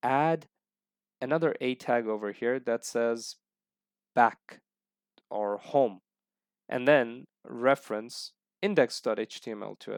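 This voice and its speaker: In a very clean recording with a silent background and a dry, close sound free of echo, a man talks at a fairly slow pace with ordinary pitch variation and long, frequent pauses. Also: medium pitch for a man. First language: not English. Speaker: programming tutorial teacher. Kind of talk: screen-recorded coding tutorial. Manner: halting, many fillers; casual, friendly.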